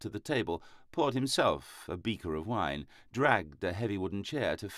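Lively intonation marks this unforced reading voice from start to finish.

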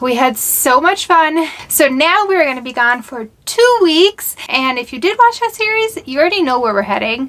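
Her pitch high and swinging very widely, a woman speaks at a moderate pace. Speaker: travel vlogger. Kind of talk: casual vlog chat.

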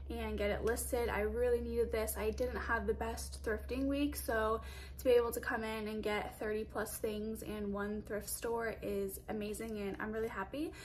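A woman speaks at a moderate pace with hardly any pauses. Light background noise sits behind her. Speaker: clothing reseller. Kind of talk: casual vlog chat. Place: home room. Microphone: phone near.

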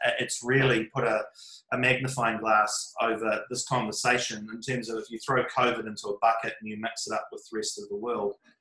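A man speaks at a moderate pace with fairly even intonation. The background is quiet, with audible room echo. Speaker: remote guest, art project creator. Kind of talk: interview answer.

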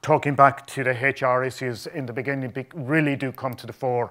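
A man's bright, sharp voice at a moderate pace, flat and monotone, over a quiet background. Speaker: conference presenter. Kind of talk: conference talk. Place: hall.

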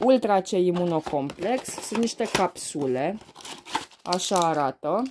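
A woman's lively intonation at a fairly slow pace, amid noticeable background noise. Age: 30s. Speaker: beauty and perfume vlogger; beauty vlogger. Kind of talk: casual unboxing vlog. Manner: hesitant, many fillers. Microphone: phone near.

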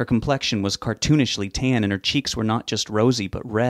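A text is read aloud in a natural voice. Its pitch moves in an ordinary way.

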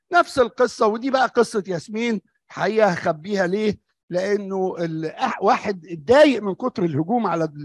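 A man's high voice at a fairly slow pace, with ordinary pitch variation and a quiet background. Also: dry sound with no echo. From Egypt. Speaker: doctor; conference presenter. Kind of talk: lecture. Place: hall. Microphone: podium.

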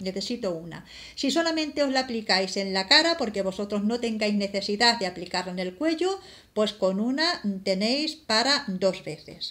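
A woman's fairly high voice, bright and sharp in tone, at a moderate pace. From Spain. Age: 50s. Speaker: beauty vlogger; product reviewer. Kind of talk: product review vlog. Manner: halting. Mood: warm, calm. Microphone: phone near.

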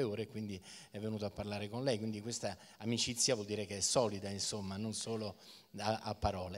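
Moving at a fairly quick pace, this is a plain, everyday voice. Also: man. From Italy. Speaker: event presenter; event host, interviewer. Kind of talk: stage interview. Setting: stage with audience. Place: stage. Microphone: handheld.

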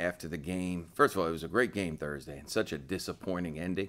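A man's fairly quick delivery with fairly even intonation. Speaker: head coach. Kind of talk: interview answer. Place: meeting room.

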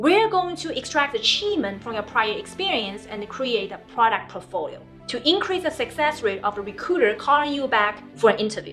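Over music in the background, a woman talks fairly quickly at a high pitch with very wide pitch swings and hardly any pauses. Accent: non-native. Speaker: director of product, career coach. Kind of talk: motivational promo talk to camera. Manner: upbeat, encouraging.

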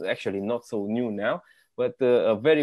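The setting is quiet. A man speaks very slowly. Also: dry sound with no echo. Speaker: interview host. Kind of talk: interview introduction. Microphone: earbuds.

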